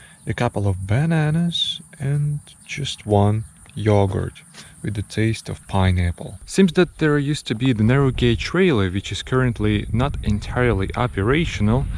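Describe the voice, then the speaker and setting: A man speaks at a moderate pace with a medium pitch and very wide pitch swings. His voice is somewhat breathy. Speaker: travel vlogger. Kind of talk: casual travel vlog.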